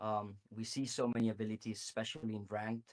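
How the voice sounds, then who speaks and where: Medium-pitched man with a Spanish accent at a fairly quick pace, in a dry, close sound with no echo. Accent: Spanish accent, noticeable. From Spain. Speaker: game developer. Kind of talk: interview answers. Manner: hesitant with fillers.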